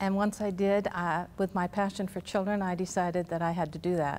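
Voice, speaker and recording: Recorded very cleanly against a silent background, a woman speaks in an ordinary speaking voice at medium pitch, with ordinary pitch variation and a moderate pace. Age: 60s. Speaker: volunteer mentor. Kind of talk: interview.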